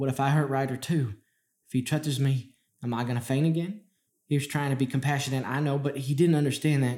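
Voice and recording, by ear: In a quiet background, the speaker is reading aloud in a natural voice, intonation fairly even.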